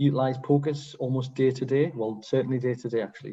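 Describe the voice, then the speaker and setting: A somewhat breathy man with a dark, mellow tone and medium pitch speaks at a very fast pace in a monotone, flat intonation. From northern England, Sunderland/Newcastle area. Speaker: pediatric emergency medicine consultant. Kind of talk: case presentation to an international audience. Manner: hesitant, frequent fillers.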